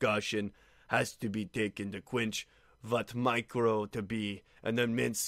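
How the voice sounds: Reading in a natural voice, the speaker keeps the intonation fairly even.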